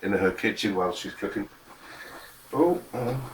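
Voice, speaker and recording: A mumbling man with a Scottish accent, over noticeable background noise. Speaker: home cook. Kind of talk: tutorial. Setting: home kitchen. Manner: casual.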